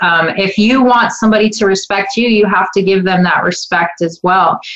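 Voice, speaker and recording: A woman's medium-pitched voice with ordinary pitch variation, against noticeable background noise. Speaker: psychic medium and spiritual coach. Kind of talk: radio interview with live call-ins.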